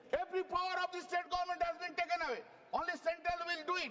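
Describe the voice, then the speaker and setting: Amid noticeable background noise, a man talks at a fairly quick pace in an extremely high pitch. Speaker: member of parliament and senior lawyer. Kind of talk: parliamentary speech. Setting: parliament chamber. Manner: fast; animated.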